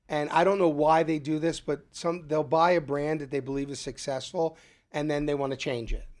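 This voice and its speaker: Speaking with a Philadelphia accent, a man with a fairly high pitch keeps a fairly even intonation in a very clean recording with a silent background. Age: 60s. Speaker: restaurant owner and chef. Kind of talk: casual interview. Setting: studio.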